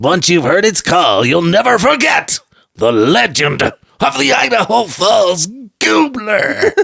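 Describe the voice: A man puts on a strained, dramatic character voice at a high pitch. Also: fairly slow pace.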